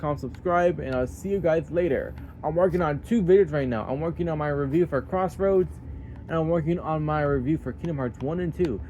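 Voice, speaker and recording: The speaker talks at a fairly quick pace with ordinary pitch variation. Music plays in the background. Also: man, fairly high pitch for a man. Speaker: gaming YouTuber. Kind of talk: casual vlog talk. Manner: fast.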